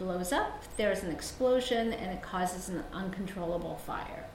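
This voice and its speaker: Amid noticeable background noise and audible room echo, a woman talks with ordinary pitch variation. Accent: Mid-Atlantic American. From South Korea, moved to suburban Maryland at 11. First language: Korean. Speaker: novelist. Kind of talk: author talk with readings.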